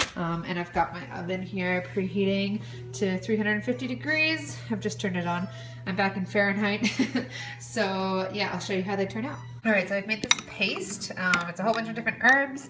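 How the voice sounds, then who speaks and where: Speech at a moderate pace plays over clear music in the background. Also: woman. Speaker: food vlogger. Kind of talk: casual vlog chat. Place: kitchen. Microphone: phone near.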